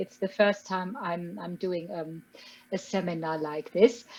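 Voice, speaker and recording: A woman with a German accent, fairly slow pace and ordinary pitch variation, music in the background. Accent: German accent, still noticeable. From rural Germany. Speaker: chemistry professor. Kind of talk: interview. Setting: online webinar.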